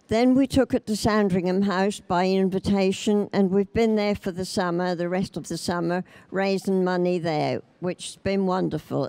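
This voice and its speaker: This woman has a Norfolk accent, a medium pitch, and a dark, mellow tone. Her intonation is fairly even at a moderate pace, with a dry, close sound and no echo. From Norfolk, England. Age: 80s+. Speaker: knitter. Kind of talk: speech to an exhibition audience.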